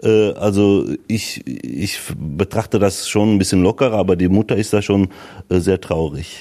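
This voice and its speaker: The tone is dark and mellow, with very even loudness. The pace is fairly slow and the pitch variation ordinary. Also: man, fairly low pitch for a man. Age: 40s. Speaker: local politician. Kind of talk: interview. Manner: hesitant, many fillers.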